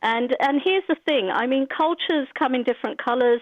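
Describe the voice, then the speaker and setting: The speaker has a British accent, a moderate pace and lively intonation. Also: woman. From Britain. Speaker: caller. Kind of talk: phone-in comment. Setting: phone call.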